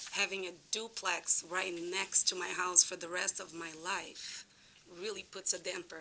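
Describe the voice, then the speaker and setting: A woman speaks at a medium pitch in a bright, sharp tone. Her intonation stays flat and monotone while her loudness swings widely. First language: not English. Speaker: resident speaking at public hearing. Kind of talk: public comment at town meeting. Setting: town commission meeting.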